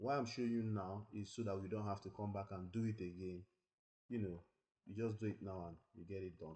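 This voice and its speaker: The voice is somewhat breathy, with a dark, mellow tone. It moves at a fairly quick pace with fairly even intonation. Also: man, fairly low pitch for a man. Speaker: tech tutorial creator. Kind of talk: tutorial. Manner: fast.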